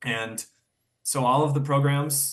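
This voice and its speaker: With an American accent, a man speaks at a fairly high pitch with fairly even intonation. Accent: slight Wisconsin accent on some words. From Wisconsin, US Midwest. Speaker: podiatric medicine student. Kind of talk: interview conversation. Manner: casual, with fillers and repetitions.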